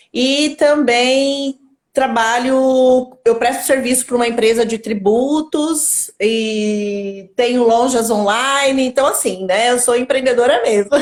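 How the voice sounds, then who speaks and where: At a very slow pace, a woman with a high pitch speaks with hardly any pauses, very even loudness and ordinary pitch variation. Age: 50s. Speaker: entrepreneur in digital marketing. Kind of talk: live stream interview. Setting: Instagram live.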